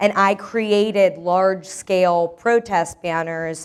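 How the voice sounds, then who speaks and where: In an American accent, a woman speaks at a medium pitch with ordinary pitch variation. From Iranian American, New York. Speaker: moderator and performance artist. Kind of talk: workshop introduction. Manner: loud.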